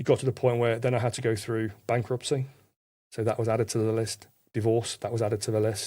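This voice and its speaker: Speaking at a fairly quick pace, a man uses a monotone, flat intonation at medium pitch with a dark, mellow tone, captured in a very clean recording against a silent background. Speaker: podcast guest. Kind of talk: testimony. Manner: fast.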